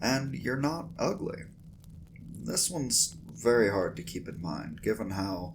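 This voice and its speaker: This man's voice carries vocal fry and a soothing, calm tone. He moves at a fairly slow pace while his pitch swings very widely. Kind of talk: ASMR roleplay pep talk.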